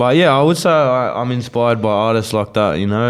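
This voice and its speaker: Amid noticeable background noise, a man with an Australian accent talks at a very fast pace. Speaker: rapper. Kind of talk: casual interview chat.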